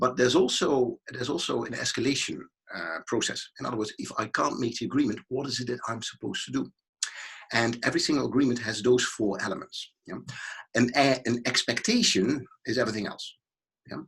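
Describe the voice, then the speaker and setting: A man with vocal fry speaks at a fairly quick pace, his medium pitch showing ordinary variation. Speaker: business consultant and keynote speaker. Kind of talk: interview. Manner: fast.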